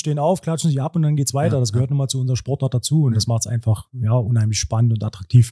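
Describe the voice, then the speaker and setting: With a Brandenburg accent, a man speaks at a very fast pace with hardly any pauses, his medium-pitched voice dark, mellow and somewhat breathy, with ordinary pitch variation and a dry, close sound with no echo. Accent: Cottbus-area Brandenburg dialect, noticeable. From Cottbus, Lower Lusatia (Brandenburg). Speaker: handball club sporting director, former coach. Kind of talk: casual interview.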